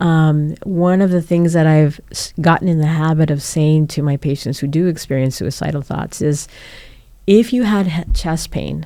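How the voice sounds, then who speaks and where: A woman's very deep, low voice with a Spanish accent, dark and mellow in tone, at a moderate pace with ordinary pitch variation. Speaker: psychologist co-host. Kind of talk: casual chat. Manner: halting, many fillers.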